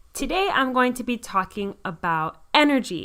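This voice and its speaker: Enthusiastic and bright, with a sharp tone, a woman talks at a moderate pace with lively intonation on a very clean recording with a silent background. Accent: American. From US South, Miami, Florida. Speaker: podcast host, occupational therapist, health coach. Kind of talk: solo podcast talk.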